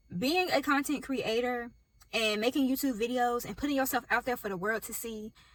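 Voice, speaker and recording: With a slight Southern US accent, a woman talks at a fairly quick pace in a high pitch, using ordinary pitch variation. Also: big swings in loudness. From US South. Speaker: YouTuber starting a business. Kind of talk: casual vlog talk to camera. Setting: in a car.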